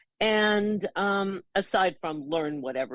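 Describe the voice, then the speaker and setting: The voice shows ordinary pitch variation. The sound is dry and close with no echo, over a quiet background. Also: woman. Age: 70s. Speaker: retired teacher and author. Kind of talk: podcast interview.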